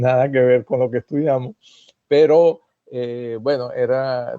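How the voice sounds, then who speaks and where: This man's intonation is fairly even. He speaks at a very slow pace. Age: 60s. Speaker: immigrant sharing experience. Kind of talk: casual interview chat. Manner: halting, many fillers.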